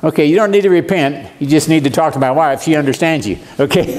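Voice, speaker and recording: With an American accent, a man talks at a fairly high pitch with ordinary pitch variation over noticeable background noise. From Arizona. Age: 70s. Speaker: preacher. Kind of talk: sermon. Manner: animated.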